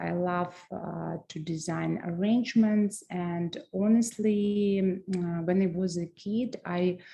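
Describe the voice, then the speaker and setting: A woman's very slow speech in a Russian accent, dark and mellow in tone. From Transnistria. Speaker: floral designer and business owner. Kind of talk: webinar presentation. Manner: halting, many fillers.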